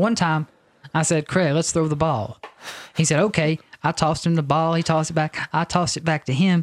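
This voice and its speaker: A man with an unremarkable speaking voice talks at a fairly high pitch and fairly quick pace, with fairly even intonation and a dry, close sound with no echo. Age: 20s. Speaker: podcast co-host. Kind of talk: casual chat.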